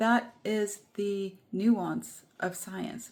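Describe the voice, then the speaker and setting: In a very clean recording with a silent background, a woman talks in a fairly high, somewhat breathy voice with fairly even intonation. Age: 40s. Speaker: nature therapist and vlogger. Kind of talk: casual vlog talk to camera.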